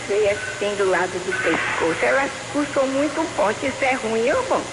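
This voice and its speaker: A woman's high voice at a fairly slow pace, with hardly any pauses and very wide pitch swings, amid audible room echo and noticeable background noise. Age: 80s+. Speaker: caller. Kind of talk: radio call-in question. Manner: halting.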